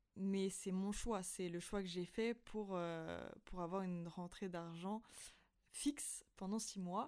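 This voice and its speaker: A woman talks at a very slow pace. Her intonation is fairly even. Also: medium pitch for a woman. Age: 20s. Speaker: podcaster. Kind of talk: personal monologue. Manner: hesitant, many fillers.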